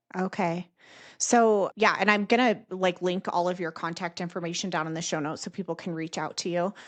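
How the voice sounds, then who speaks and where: At a fairly quick pace, a woman speaks with fairly even intonation and a medium pitch. The background is quiet. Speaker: podcast host, dental educator. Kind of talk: interview. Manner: loud, projecting voice.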